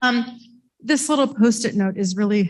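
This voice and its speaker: With an American accent, a woman speaks at a moderate pace, somewhat breathy and with lively intonation. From rural Ohio, US Midwest. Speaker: hospital services director. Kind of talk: motivational talk. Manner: halting.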